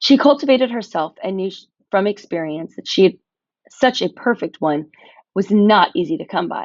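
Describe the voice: The intonation is lively in this plain reading aloud. Behind it, things stay quiet.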